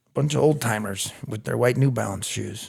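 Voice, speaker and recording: A man speaks with a strong Chicago accent. His pitch sits in the medium range. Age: 40s. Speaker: recovering addict sharing his story. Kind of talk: personal testimony. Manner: loud.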